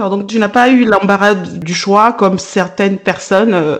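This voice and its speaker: Noticeable background noise sits behind a woman speaking at medium pitch. Her pace is very slow and her intonation fairly even. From Africa. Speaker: podcast host, radio and TV presenter. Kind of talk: interview.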